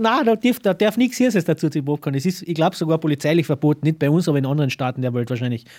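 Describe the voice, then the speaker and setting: With lively intonation and a fairly high pitch, a man races along at a very fast pace with hardly any pauses, recorded very cleanly against a silent background in a dry, close sound with no echo. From Carinthia, Austria. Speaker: cameraman and film producer. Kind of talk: casual interview. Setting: small cinema.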